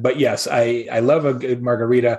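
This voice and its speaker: Somewhat breathy, a man with an American accent speaks at a medium pitch. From Arizona, US. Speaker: keynote speaker and marketing advisor. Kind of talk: casual interview. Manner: animated.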